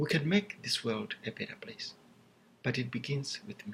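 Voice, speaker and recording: A man with a Zimbabwean accent at a moderate pace. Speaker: seminary student. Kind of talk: class video presentation. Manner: formal.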